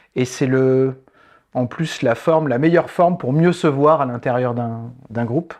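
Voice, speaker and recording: A man speaks in a plain, everyday voice at a medium pitch. His intonation stays fairly even, and his pace is fairly slow. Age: 40s. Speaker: improv theatre facilitator and trainer. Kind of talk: interview conversation. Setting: studio set.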